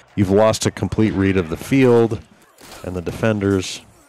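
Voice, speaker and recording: A man talks with fairly even intonation at a moderate speed while noticeable background noise plays. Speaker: color commentator. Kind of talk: color commentary analysis. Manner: relaxed, conversational, with filler words.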